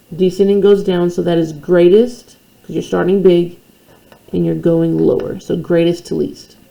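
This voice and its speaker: Noticeable background noise behind a woman's voice at a moderate pace. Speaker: math teacher. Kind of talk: tutorial.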